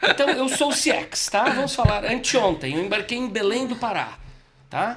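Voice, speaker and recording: The tone is animated, with lively intonation at a moderate pace. Background noise is noticeable. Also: man, extremely high pitch for a man. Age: 60s. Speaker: communication expert and speaker. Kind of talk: casual podcast interview.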